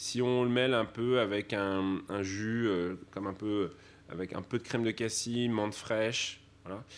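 A man speaks fairly slowly at a fairly low pitch, with fairly even intonation. He has a normal speaking voice. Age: young. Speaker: sommelier. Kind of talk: interview testimony.

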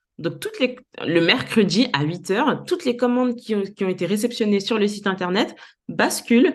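This woman has a normal speaking voice and lively intonation. She keeps a moderate pace. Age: 30s. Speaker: entrepreneur. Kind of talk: interview.

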